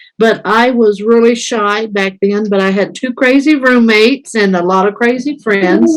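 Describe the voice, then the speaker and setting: A woman speaks at a fairly slow pace. Her pitch sits fairly high. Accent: American. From US Midwest, Indiana. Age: 60s. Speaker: missionary. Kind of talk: interview. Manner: animated.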